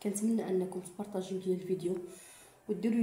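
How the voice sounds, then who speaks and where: A woman with a Moroccan accent talks at a fairly quick pace and medium pitch, her intonation monotone and flat. There is noticeable background noise and audible room echo. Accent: Moroccan Arabic (Darija). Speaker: cooking and home remedy vlogger. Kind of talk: tutorial. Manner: halting, self-correcting.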